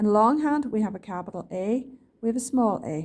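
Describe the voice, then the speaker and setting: With a dark, mellow tone, a woman speaks at a medium pitch with ordinary pitch variation. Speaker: shorthand teacher. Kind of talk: lesson to students. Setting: recorded video lesson.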